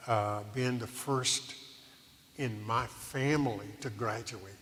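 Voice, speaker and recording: A man speaks at a very slow pace with fairly even intonation, with audible room echo and noticeable background noise in the recording. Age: 70s. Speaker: retired preacher. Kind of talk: interview.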